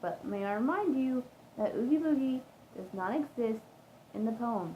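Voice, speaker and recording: Speaking high for a woman, she uses lively intonation at a moderate pace. Noticeable background noise runs underneath. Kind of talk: poetry reading. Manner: stuttering.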